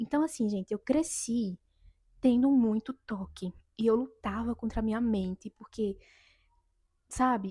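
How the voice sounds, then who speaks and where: A woman with a fairly high, somewhat breathy voice and a dark, mellow tone speaks at a fairly slow pace with long, frequent pauses and ordinary pitch variation, in a dry, close sound with no echo. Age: 20s. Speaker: vlogger. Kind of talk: personal testimony vlog.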